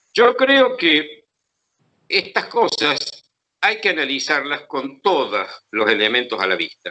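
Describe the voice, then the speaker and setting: A man talks at a very slow pace with long, frequent pauses and very wide pitch swings. His tone is bright and sharp, with vocal fry. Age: 70s. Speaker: historian. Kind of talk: interview. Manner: halting.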